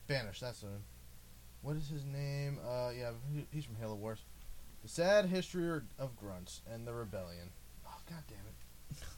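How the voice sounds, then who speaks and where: Audible echo from the room follows a man speaking at a moderate tempo. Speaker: podcast host. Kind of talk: casual chat. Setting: recording in a bedroom.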